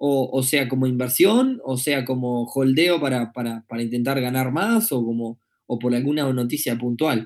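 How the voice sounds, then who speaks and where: A man's medium-pitched, moderately paced delivery, a plain, everyday voice, on a very clean recording with a silent background. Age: 30s. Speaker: podcast host. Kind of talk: live-streamed podcast monologue. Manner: casual with frequent filler words.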